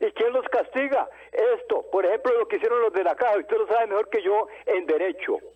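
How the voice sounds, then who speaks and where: A man talks at a fairly quick pace, keeping his loudness very even. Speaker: caller. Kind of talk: phone-in call. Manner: formal.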